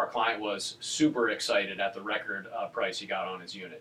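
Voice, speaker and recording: A man talks at a very fast pace. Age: 30s. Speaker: real estate agent. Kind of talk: casual chat.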